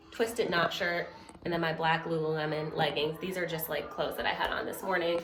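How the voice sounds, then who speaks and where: A woman talks at a moderate pace. Her voice carries audible room echo, with noticeable background noise behind it. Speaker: lifestyle vlogger. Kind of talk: casual vlog narration.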